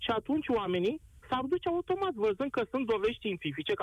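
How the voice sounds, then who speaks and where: Talking at a very fast pace, a man uses an extremely high pitch that swings very widely. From Constanța, Romania; Turkish-Tatar community. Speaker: radio caller, former army signals specialist. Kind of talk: call-in opinion.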